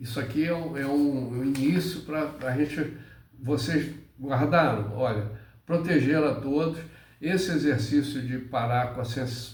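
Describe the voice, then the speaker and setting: Amid audible room echo, a somewhat breathy man speaks at a very slow pace with ordinary pitch variation. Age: 70s. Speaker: spiritual teacher. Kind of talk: spiritual monologue. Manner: halting.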